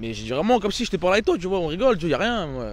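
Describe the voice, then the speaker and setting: A man is speaking. His intonation is lively. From France, Aubervilliers (Seine-Saint-Denis, Paris suburbs). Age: 20s. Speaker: amateur actor and camera operator. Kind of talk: casual interview. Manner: casual, hesitant with many fillers.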